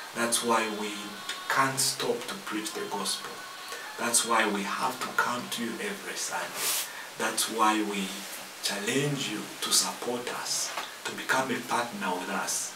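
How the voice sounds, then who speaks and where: Ordinary pitch variation and a fairly slow pace, with noticeable background noise behind. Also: man. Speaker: preacher hosting a TV ministry program. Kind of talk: sermon. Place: studio.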